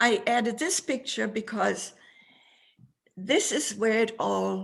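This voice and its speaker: Her voice has a somewhat breathy quality. The woman delivers her words very slowly. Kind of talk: interview answer describing photos. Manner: passionate.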